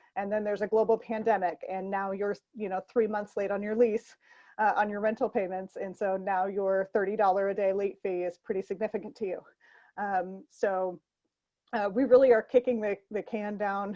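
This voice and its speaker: Against a quiet background, a woman with a medium-pitched voice and a dark, mellow tone speaks in a monotone, flat intonation, with a dry, close sound and no echo. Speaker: nonprofit policy advocate and forum moderator. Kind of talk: online panel forum. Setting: online call. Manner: fast; hesitant, many fillers.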